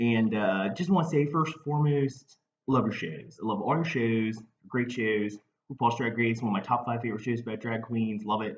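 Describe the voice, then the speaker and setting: The speaker has a Baltimore accent and ordinary pitch variation. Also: man. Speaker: comedian. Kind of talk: casual talk to camera. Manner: hesitant, rambling.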